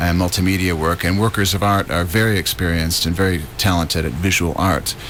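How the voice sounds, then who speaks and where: A man with a very deep, low voice speaks at a fairly quick pace in an American accent. His pitch varies in an ordinary way, and there is noticeable background noise. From US Midwest, Detroit area. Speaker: writer and arts producer. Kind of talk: radio interview. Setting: radio studio.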